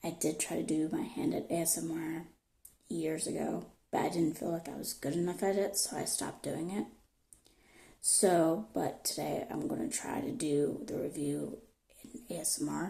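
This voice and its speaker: A soft-spoken woman talks at a moderate pace in a fairly low, dark, mellow voice with vocal fry. Her intonation is lively. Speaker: product reviewer. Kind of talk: soft-spoken ASMR product review.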